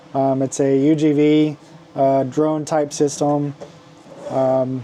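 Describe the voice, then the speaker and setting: With noticeable background noise behind him, a man speaks very slowly at a fairly high pitch in a monotone, flat intonation. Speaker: maker selling custom toy accessories. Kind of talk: product showcase video. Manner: halting, many fillers; loud.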